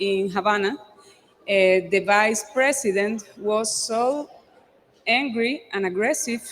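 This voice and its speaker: A woman speaks with a Cuban accent and a fairly high pitch. Noticeable background noise runs underneath. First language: Spanish. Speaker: actress and theater director. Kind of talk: talk at a public event. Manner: halting, many fillers.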